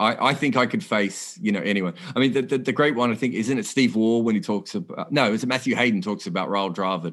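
A man with an Australian accent, very fast pace and ordinary pitch variation against a quiet background. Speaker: cricket journalist. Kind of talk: casual chat.

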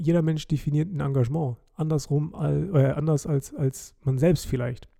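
The man's voice is somewhat breathy, fairly high in pitch, with fairly even intonation. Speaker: podcast host. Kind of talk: casual monologue.

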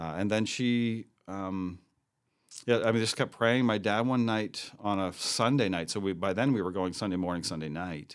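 Moderately paced, a man with an ordinary speaking voice talks at a fairly low pitch. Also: ordinary pitch variation. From New Brunswick, Canada. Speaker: pastor and church planter. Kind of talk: interview.

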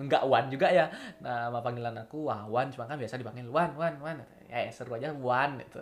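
Talking very fast with a Balinese accent, a man keeps a medium pitch, ordinary pitch variation and big swings in loudness. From Bali, Singaraja. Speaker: university student podcaster. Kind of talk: casual monologue voice note. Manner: unscripted, hesitant.

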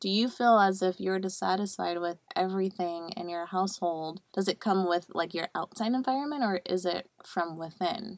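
A woman with an American accent uses a plain, everyday voice at a medium pitch, moving at a moderate pace with ordinary pitch variation and hardly any pauses, in a very clean recording with a silent background and a dry, close sound with no echo. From Buffalo, New York. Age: 20s. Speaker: podcast co-host. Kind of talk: casual chat.

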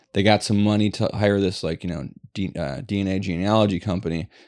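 A normal speaking voice at a fairly quick pace, fairly even in intonation, against a quiet background. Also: man. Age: 40s. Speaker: podcast co-host. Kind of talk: casual chat.

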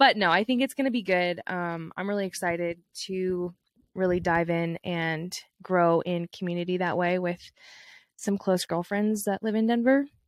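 On a very clean recording with a silent background, a woman with a normal speaking voice talks at a medium pitch and a moderate pace with ordinary pitch variation, the sound dry and close with no echo. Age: 20s. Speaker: podcast co-host. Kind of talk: casual chat.

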